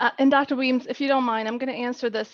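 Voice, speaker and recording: A woman with a non-native accent. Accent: foreign. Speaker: corporate diversity lead. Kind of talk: panel discussion.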